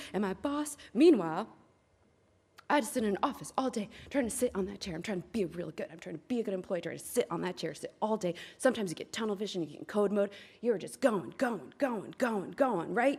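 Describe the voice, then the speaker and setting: A woman with a medium pitch talks at a fairly quick pace in an animated tone, with lively intonation and big swings in loudness. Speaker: programmer giving a conference talk. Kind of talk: lightning talk. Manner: fast.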